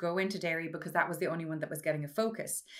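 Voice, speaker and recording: With a western Irish accent, a woman speaks at a fairly low pitch with fairly even intonation. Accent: Irish, western rural. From rural west of Ireland (Mayo). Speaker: mathematics professor and citizens' assembly chair. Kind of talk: interview conversation.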